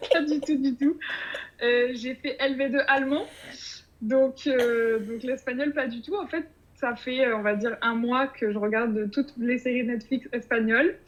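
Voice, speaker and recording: A woman talks at a fairly slow pace in a high pitch with ordinary pitch variation. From France, Bordeaux region. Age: 30s. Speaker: podcast writer about to move abroad. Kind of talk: interview. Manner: hesitant, many fillers.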